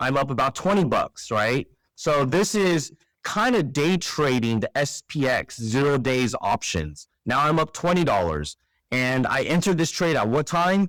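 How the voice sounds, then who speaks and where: A man with a plain, everyday voice, pitched fairly high, uses lively intonation at very even loudness, recorded very cleanly against a silent background with a dry, close sound and no echo. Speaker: trading educator. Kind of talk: screen-share tutorial. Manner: casual with fillers.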